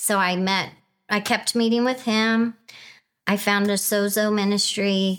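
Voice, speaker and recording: With very even loudness and a monotone, flat intonation, a woman speaks at medium pitch and a fairly slow pace on a very clean recording with a silent background. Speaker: wife sharing her marriage story. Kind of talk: testimony.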